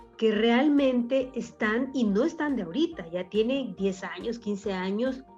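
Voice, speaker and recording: Music plays in the background as a woman speaks. Her pace is fairly slow and her intonation lively. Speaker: radio announcer. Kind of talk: radio talk show discussion.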